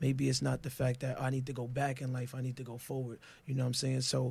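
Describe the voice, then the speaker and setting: A man speaks at a fairly quick pace in a medium, somewhat breathy voice. His intonation is flat and monotone. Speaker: podcast guest. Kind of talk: casual chat.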